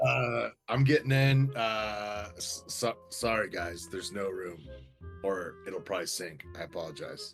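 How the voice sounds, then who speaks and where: Doing a put-on character voice, a raspy man with a fairly low pitch speaks at a moderate pace with lively intonation over faint background music. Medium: actual play. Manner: stammering, folksy.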